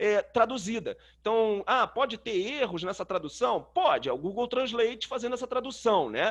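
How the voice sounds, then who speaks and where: A man speaks at a moderate pace. The background stays quiet. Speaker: systems analyst teaching a webinar. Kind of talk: tutorial. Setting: webinar. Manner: casual, many filler words.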